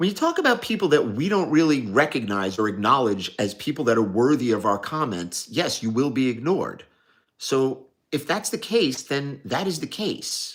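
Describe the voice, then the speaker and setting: A man with a New York accent speaks at a moderate pace and a medium pitch, his voice swinging very widely. The recording is very clean, with a silent background. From New York, Staten Island. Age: 60s. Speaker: watch dealer livestreamer. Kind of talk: casual livestream Q&A. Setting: live stream.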